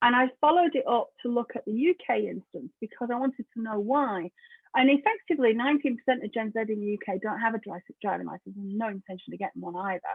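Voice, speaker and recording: Someone talks at a very fast pace with lively intonation. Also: woman. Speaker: tech security speaker. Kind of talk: conference talk.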